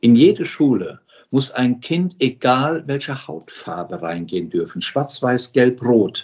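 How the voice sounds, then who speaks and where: Speaking at a very slow pace, a man with a medium pitch makes very wide pitch swings. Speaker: founder of a school-building charity, former tour operator boss. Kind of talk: interview. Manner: animated.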